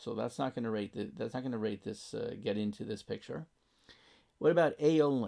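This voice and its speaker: This man's voice has a dark, mellow tone and lively intonation. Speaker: math teacher. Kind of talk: lecture.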